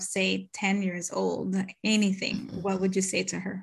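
Her voice comes across somewhat breathy. The woman takes a fairly slow pace. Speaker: podcast host. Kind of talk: casual interview chat.

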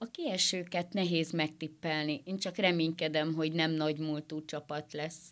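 Very deep and low, a woman's voice moves at a fairly slow pace with hardly any pauses. Her intonation stays fairly even. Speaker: football fan. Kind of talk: radio interview. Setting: studio.

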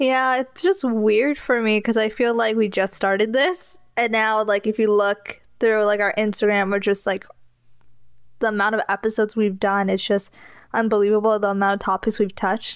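In a normal speaking voice, the speaker talks at a moderate pace with fairly even intonation and very even loudness on a very clean recording with a silent background. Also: woman, fairly high pitch for a woman. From California. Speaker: podcast co-host. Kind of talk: casual chat.

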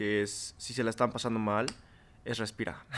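Words come at a very fast pace in a monotone, flat intonation. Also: man. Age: 20s. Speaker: podcast guest. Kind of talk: casual chat.

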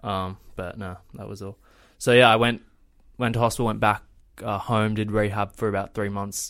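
Monotone, flat intonation at a moderate pace, with big swings in loudness and a very clean recording over a silent background. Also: man. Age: 20s. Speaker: travel vlogger. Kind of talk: casual chat.

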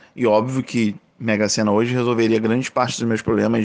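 A man with an unremarkable speaking voice, medium in pitch, at a fairly quick pace against a quiet background. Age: 30s. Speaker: podcast host. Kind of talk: casual monologue. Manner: casual.

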